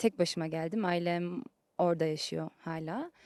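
Recorded very cleanly against a silent background, with a dry, close sound and no echo, a woman speaks at a moderate pace in a dark, mellow tone. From Germany, Turkish family. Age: 20s. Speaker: trainee lawyer. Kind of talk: interview, casual chat.

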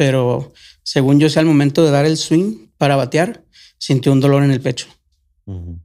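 On a very clean recording with a silent background, a man with a plain, everyday voice talks at a moderate pace in a fairly high pitch with ordinary pitch variation. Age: 40s. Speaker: former migrant. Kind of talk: casual chat.

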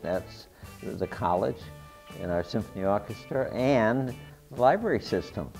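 Faint music plays in the background as a man speaks with an American accent at a moderate pace. His fairly low pitch moves with ordinary variation. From Worcester, Massachusetts. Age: 80s+. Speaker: war veteran; company CEO. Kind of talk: interview answer. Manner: hesitant, chatty. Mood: cheerful, smiling. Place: gym. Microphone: lapel.

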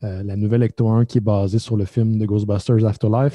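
Against a quiet background, a man with a dark, mellow tone and a Quebec accent talks fairly quickly with fairly even intonation, the sound dry and close with no echo. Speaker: podcast host. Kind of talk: casual chat.

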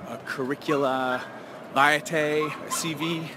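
A man speaks over noticeable background noise. The sound itself is dry, with no echo. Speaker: sex educator vlogger. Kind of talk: casual vlog chat. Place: street. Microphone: phone near.

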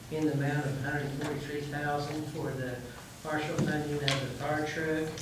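Strong room echo and noticeable background noise accompany a man speaking at a moderate pace. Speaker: grant administrator presenting to council. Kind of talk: public hearing presentation. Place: hall. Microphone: podium.

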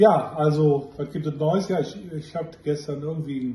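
A man speaks at a fairly high pitch with a dark, mellow tone. Room echo is audible. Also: ordinary pitch variation, moderate pace.

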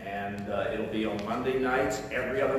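A man is heard with strong room echo. There is noticeable background noise too. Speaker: pastor or Sunday school leader. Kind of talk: church announcements. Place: church. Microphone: camera far.

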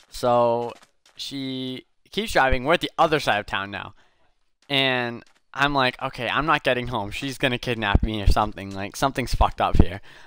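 A man speaks at a moderate pace with a bright, sharp tone and ordinary pitch variation, his voice dry with no echo over light background noise. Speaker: streamer. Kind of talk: casual storytelling while gaming. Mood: amused, laughing. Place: home room.

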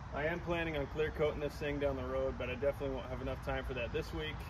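A man rattles off his words at a very fast pace while noticeable background noise carries on. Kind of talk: casual vlog chat. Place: street. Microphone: camera far.

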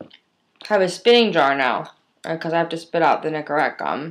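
A woman's voice, very deep and low in pitch. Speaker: video diarist. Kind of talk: casual talk to camera. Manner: rambling, self-deprecating. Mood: wry, self-mocking. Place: home room. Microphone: webcam.

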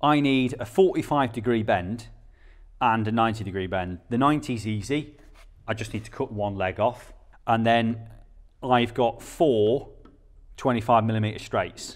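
A man at a fairly slow pace with long, frequent pauses, over a quiet background. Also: ordinary pitch variation. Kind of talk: tutorial. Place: workshop.

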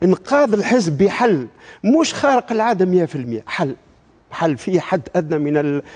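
Very wide pitch swings at a fairly slow pace. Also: man, high pitch for a man. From Tunisia. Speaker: party spokesman, politician. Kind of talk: political talk show debate. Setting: TV studio with audience. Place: studio. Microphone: lapel.

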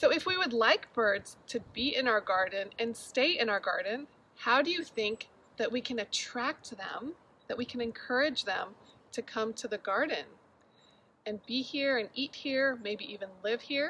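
Her high-pitched voice carries lively intonation at a moderate pace. Light background noise sits behind this woman. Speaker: garden educator. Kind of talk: children's lesson and read-aloud. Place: garden. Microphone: phone near.

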